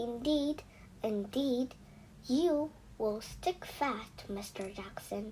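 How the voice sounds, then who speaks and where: A woman in a put-on character voice speaks very slowly at a high pitch, with long, frequent pauses and clear background noise. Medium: read story. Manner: prim, fussy.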